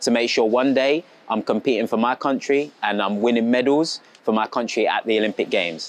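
With a British accent, a man talks at a fairly quick pace and ordinary pitch variation, in a dry sound with no echo. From England. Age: 20s. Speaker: athlete. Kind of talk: school talk to children. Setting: assembly with audience. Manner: animated.

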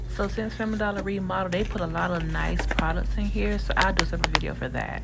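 Amid loud background noise, a woman speaks at a very fast pace. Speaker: vlogger. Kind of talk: casual vlog chat. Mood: amused, laughing storytelling. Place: shop. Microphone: phone near.

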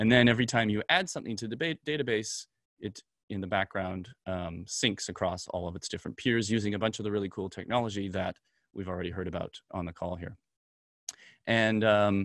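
With an ordinary speaking voice, a man talks at a fairly quick pace and fairly low pitch with fairly even intonation, the sound dry with no echo over a quiet background. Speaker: presenter. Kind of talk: conference talk over slides. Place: home room.

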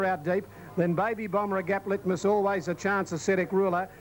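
Over noticeable background noise, a man speaks in a high pitch. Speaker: race caller. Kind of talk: live commentary. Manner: fast talker.

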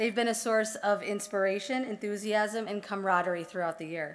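With ordinary pitch variation, a woman speaks at a medium pace. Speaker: speaker. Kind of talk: formal ceremony address. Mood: formal, earnest. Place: hall.

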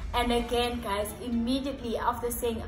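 A woman's voice with audible room echo and faint music in the background. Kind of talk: casual vlog chat about Bible study. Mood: warm, earnest. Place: home room.

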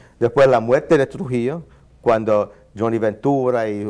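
A man with an English accent, fairly slow, dark and mellow in tone, with ordinary pitch variation and a quiet background. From New York. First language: English (speaking Spanish). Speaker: ethnomusicologist and saxophonist; guest. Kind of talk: interview. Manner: halting. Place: studio. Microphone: lapel.

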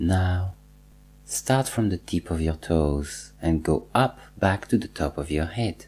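A man's very deep, low voice, somewhat breathy, with lively intonation and a very slow pace. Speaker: meditation teacher. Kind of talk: guided meditation, slow second-person instructions leading a body scan with pauses. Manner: calm, slow and soothing, repeating cues; gently instructive, reassuring tone with deliberate pauses.

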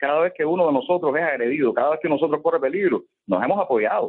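A man with a Cuban accent talks fairly quickly at a fairly high pitch, with very wide pitch swings. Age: 30s. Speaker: playwright and activist. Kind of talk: radio interview. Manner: halting, repeats words.

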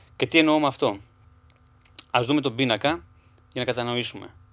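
A man's fairly quick speech, fairly even in intonation, comes over a quiet background. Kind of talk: tutorial. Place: home room. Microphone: webcam.

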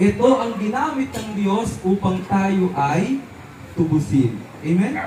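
A high-pitched man with a warm tone and lively intonation talks amid noticeable background noise. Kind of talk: homily at an outdoor Santa Cruzan Mass, a priest preaching to a parish crowd. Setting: outdoors at a religious procession with a crowd. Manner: warm, unhurried and repetitive, stressing key words and drawing out the answers.

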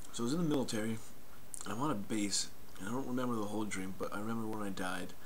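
A man at a very fast pace, fairly even in intonation, with light background noise. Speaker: vlogger. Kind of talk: casual vlog chat. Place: home room. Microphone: headset.

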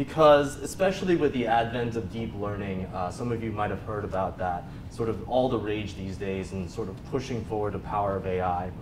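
Noticeable background noise sits behind a man speaking at a moderate pace with lively intonation. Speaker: conference speaker. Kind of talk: lecture. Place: meeting room.

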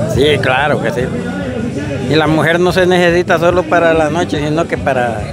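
A man at a moderate pace with long, frequent pauses, dry sound with no echo, and loud background noise. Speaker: saddle maker. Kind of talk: interview answer. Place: open country. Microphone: lapel.

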